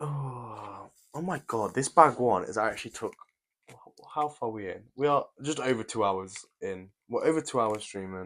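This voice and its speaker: A man with an English accent speaks at a moderate pace and medium pitch, with lively intonation, in a very clean recording with a silent background. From England. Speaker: YouTuber building brick sets. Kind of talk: live stream chat while building. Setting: live stream. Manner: casual, chatty.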